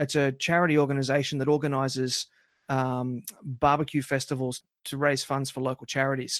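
A man with an Australian accent and fairly high pitch, on a very clean recording with a silent background and a dry, close sound with no echo. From Australia, country towns. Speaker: barbecue podcast host. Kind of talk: casual interview.

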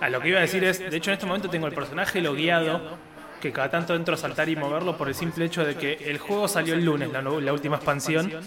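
Amid noticeable background noise and audible room echo, a man talks at a very fast pace with a fairly high pitch and fairly even intonation. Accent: Rioplatense. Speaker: video game podcast host. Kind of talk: casual chat.

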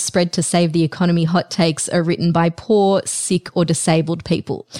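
A woman with an Australian accent talks at a fairly quick pace in a fairly low pitch. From Australia (moved there as a child). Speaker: podcast host. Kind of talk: interview conversation. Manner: animated.

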